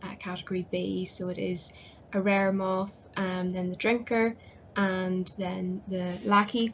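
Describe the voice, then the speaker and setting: A woman's medium-pitched voice in a Northern Irish accent, monotone and flat in intonation. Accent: Northern Irish (Belfast). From Northern Ireland, Belfast. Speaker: conservation volunteer presenting research. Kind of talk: conference presentation. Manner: hesitant, many fillers.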